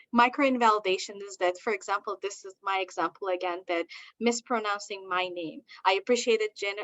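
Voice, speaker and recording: This woman's speech comes at a fairly quick pace, her pitch medium. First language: not English; English is her third language. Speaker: diversity consultant and university lecturer. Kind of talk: presentation.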